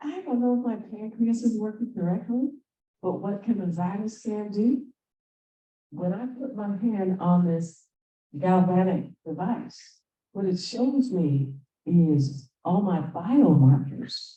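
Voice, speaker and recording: This woman talks at a very slow pace, her medium-pitched voice somewhat breathy with a dark, mellow tone and lively intonation. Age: 60s. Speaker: conference presenter. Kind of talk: conference talk. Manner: animated.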